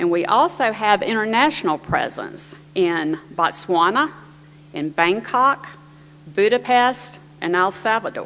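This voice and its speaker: Speaking fairly slowly, a woman with a medium pitch talks in an American accent. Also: lively intonation. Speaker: panel moderator, government IT official. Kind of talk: conference presentation.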